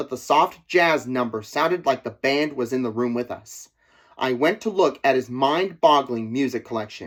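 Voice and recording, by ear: Here the text is read aloud in a natural voice.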